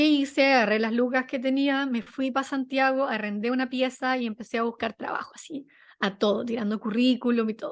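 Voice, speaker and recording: A woman's high voice in a Chilean accent, fairly quick pace and fairly even intonation, quiet background. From Chile, Viña del Mar. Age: 20s. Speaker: journalist and content manager. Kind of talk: interview. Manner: casual, many fillers.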